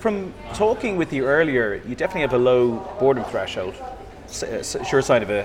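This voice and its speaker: Music plays in the background as a man with a Dublin accent speaks at a fairly quick pace and medium pitch with lively intonation. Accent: Irish (Dublin). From Dublin, Ireland. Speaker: podcast host. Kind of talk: interview.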